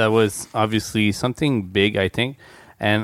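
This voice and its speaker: With a Quebec accent, a man talks in a fairly low voice with ordinary pitch variation, in a very clean recording with a silent background and a dry, close sound with no echo. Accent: French-Canadian accent in English. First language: French. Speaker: podcast host. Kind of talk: casual chat. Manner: hesitant in English.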